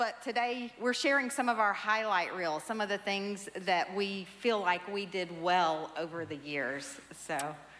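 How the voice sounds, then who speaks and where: Noticeable background noise runs under a woman's voice. She speaks at a fairly slow pace with lively intonation. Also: hardly any pauses. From US South. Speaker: pastor's wife. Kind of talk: church testimony. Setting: church stage.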